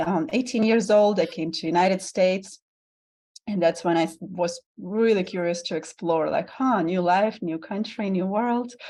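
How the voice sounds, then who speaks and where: A woman speaks at a medium pitch with a Russian accent. Her tone is dark and mellow. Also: ordinary pitch variation, moderate pace. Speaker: vulnerability guide and tantric bodyworker. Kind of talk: podcast interview.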